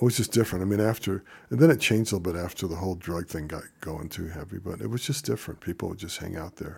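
A man with an American accent talks very fast in a very deep, low voice, barely pausing, with lively intonation and big swings in loudness. His voice is somewhat breathy, and the recording is very clean with a silent background. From Denver, Colorado (born Chicago). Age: 70s. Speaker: blues musician. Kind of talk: interview.

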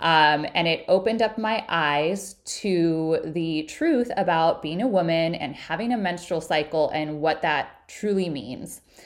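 Against a quiet background, a woman speaks at a fairly slow pace with hardly any pauses. Her pitch is fairly low. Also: ordinary pitch variation. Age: 30s. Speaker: podcast host and hormone health coach. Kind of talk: solo podcast monologue.

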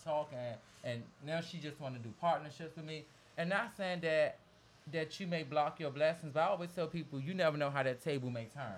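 With an American accent, a man talks at a fairly quick pace in a fairly high pitch. His voice is somewhat breathy and shows ordinary pitch variation. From DMV area (Washington DC region). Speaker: celebrity makeup artist. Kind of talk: casual interview chat.

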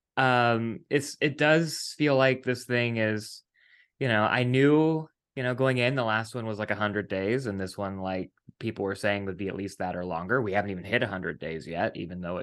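An unremarkable speaking voice: a man with an American accent, fairly low in pitch, lively in intonation, at a moderate pace against a quiet background. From West Virginia. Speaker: podcast host and TV writer. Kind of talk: casual interview chat. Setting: video call.

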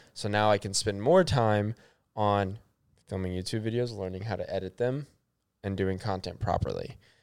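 In a normal speaking voice with a fairly low pitch and fairly even intonation, a man talks at a moderate pace on a very clean recording with a silent background. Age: 20s. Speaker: podcast co-host. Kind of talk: casual chat.

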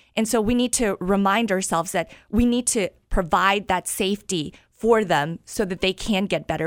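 A normal speaking voice from a woman with an American accent, medium pitch, ordinary pitch variation and a moderate pace, on a very clean recording with a silent background. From US Midwest, Wichita, Kansas. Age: 30s. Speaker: former journalist, mayoral candidate. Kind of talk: radio interview.

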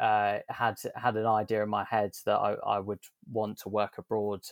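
A man talks at a moderate pace. The recording is very clean with a silent background, and the sound is dry and close with no echo. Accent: southern English. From southern England. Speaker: sustainability consultant. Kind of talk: interview. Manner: hesitant with many fillers.

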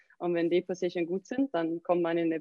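A woman's fairly low voice in a Swedish accent, at a fairly quick pace. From southern Sweden, near Malmö. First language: Swedish (speaking German). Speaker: CrossFit coach and gym owner. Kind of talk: interview.

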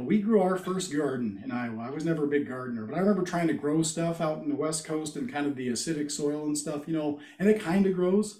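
Fairly quick and lively in intonation, a man's ordinary speaking voice sits fairly high in pitch. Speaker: podcast guest.

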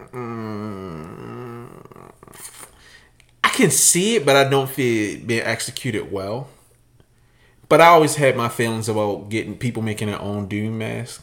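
A man talks at a fairly slow pace with ordinary pitch variation. His loudness swings widely. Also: medium pitch for a man. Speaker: sneaker podcast co-host. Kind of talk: casual chat.

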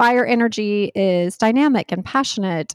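A woman's normal speaking voice, fairly high in pitch, with an American accent, at a fairly slow pace, in a dry, close sound with no echo on a very clean recording with a silent background. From North Carolina. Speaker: author and wellness creator. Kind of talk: interview conversation.

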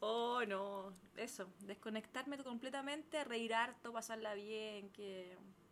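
A woman with a Chilean accent, fairly high-pitched with ordinary pitch variation, talking very slowly with hardly any pauses. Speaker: podcast co-host. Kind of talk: casual chat.

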